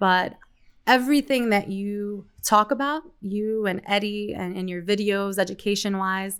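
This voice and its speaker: Speaking in a Spanish accent, a woman with a medium pitch and fairly even intonation goes at a fairly slow pace in a very clean recording with a silent background. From Queens, New York, Colombian family. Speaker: financial advisor. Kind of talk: casual interview.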